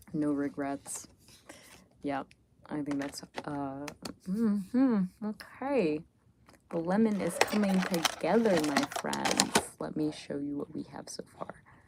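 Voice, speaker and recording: Very slow, relaxed speech with lively intonation, big shifts in loudness, long frequent pauses and noticeable background noise. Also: woman, very deep, low pitch for a woman. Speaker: spiritual lifestyle content creator. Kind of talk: casual livestream chat while drawing. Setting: live stream. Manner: relaxed, hesitant with many fillers.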